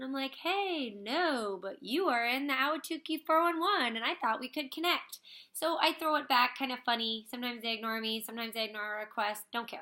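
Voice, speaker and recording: Against a quiet background, a woman with a high pitch and bright, sharp tone speaks at a very fast pace with lively intonation. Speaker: makeup direct-sales consultant. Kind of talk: tutorial. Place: home room. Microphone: webcam.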